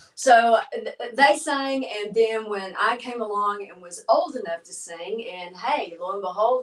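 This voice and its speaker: A woman with a Texan accent talks at a fairly high pitch and fairly slow pace, with lively intonation, big swings in loudness and hardly any pauses. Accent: Texan Southern US. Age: 60s. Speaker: gospel singer. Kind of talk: casual interview storytelling. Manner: animated.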